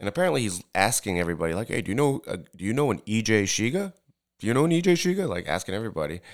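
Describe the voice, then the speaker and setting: Very fast and with a New York accent, this man talks at a fairly low pitch. His pitch swings very widely. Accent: American English, New York area. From Tokyo, Japan, then US from third grade. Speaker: bartender. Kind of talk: casual chat.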